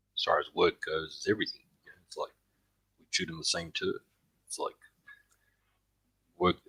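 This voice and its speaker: A man with an Australian accent talks at a fairly quick pace but takes long, frequent pauses. His loudness swings widely, and the sound is dry and close with no echo. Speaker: fellow prepping youtuber. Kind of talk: casual chat.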